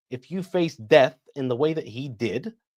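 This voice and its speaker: Recorded very cleanly against a silent background, a man speaks with a British accent. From Iraqi family, raised in Britain. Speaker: military science expert. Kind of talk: interview.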